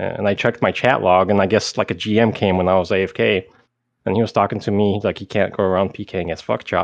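A man speaks in a normal speaking voice at a fairly quick pace, his fairly low pitch moving with ordinary variation. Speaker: guest, former game hacker and exploiter. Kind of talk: casual interview. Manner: casual, conversational.

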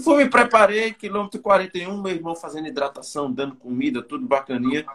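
Very wide pitch swings in a man's high voice. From Campina Grande, Paraíba, Brazil. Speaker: runner. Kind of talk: casual chat.

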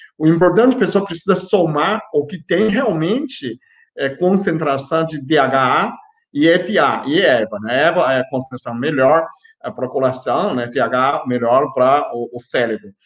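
The man's pitch is fairly high and his intonation lively. He speaks at a fairly slow pace. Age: 50s. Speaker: health youtuber, biochemist. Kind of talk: live stream health talk. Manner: animated; halting.

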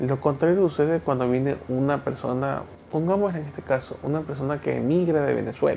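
This man talks fairly quickly in a fairly high voice with fairly even intonation. Noticeable background noise sits behind him. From Ecuador. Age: 30s. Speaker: teacher and podcaster. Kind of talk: solo podcast monologue.

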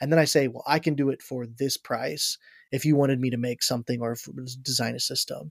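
A plain, everyday voice with an American accent, at a fairly quick pace, in dry, close sound with no echo. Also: man, medium pitch for a man, fairly even intonation. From Ohio, US Midwest. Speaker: worship arts director. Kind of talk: casual chat.

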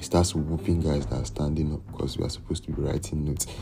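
A man's relaxed tone at a fairly quick pace, with audible room echo. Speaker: solo podcaster. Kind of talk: casual monologue. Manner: relaxed, rambling delivery.

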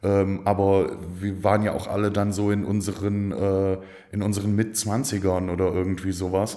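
The man's intonation is flat and monotone. His voice carries an audible room echo. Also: fairly low pitch for a man, moderate pace. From Aachen area, western Germany. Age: 30s. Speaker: PR agency founder. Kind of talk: casual interview.

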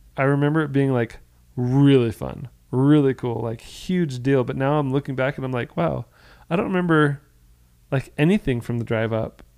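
In an American accent, a man talks at a moderate pace and medium pitch with ordinary pitch variation, an ordinary speaking voice. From Florida, US. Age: 30s. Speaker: podcast co-host. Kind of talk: casual chat.

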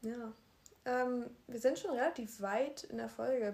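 Speaking fairly slowly, a woman uses a high pitch and a dark, mellow tone with ordinary pitch variation. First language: bilingual, German plus another language (speaking German). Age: 19, young. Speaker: podcast co-host. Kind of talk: casual chat.

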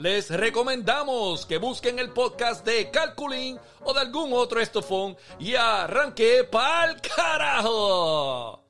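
This man's voice is extremely high in pitch, bright and sharp, with a Puerto Rican accent. He talks in a raised, projected voice at a very slow pace, his pitch swinging very widely. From Puerto Rico, Manatí. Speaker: podcast host. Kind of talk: casual chat. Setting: remote recording.

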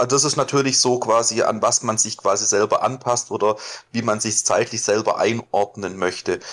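A man speaks at a moderate pace with very even loudness and fairly even intonation. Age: 20s. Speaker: LARP hobbyist. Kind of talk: casual interview. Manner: hesitant, many fillers.

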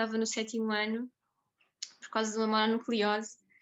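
A woman speaks with a fairly high pitch and a monotone, flat intonation. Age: 20s. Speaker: nurse and food blogger. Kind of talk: interview. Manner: halting, many repetitions and fillers.

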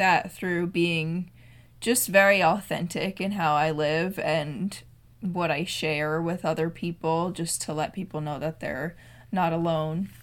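A woman speaks in a plain, everyday voice, fairly low in pitch with fairly even intonation. Her pace is fairly slow on a very clean recording with a silent background. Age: 20s. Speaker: content creator. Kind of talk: casual chat.

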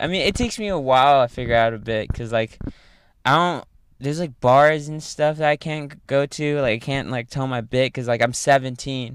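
A man talks at a fairly quick pace with a fairly high pitch and ordinary pitch variation. It is an ordinary speaking voice on a very clean recording with a silent background. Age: 18. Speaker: open mic stand-up comic. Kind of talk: casual chat.

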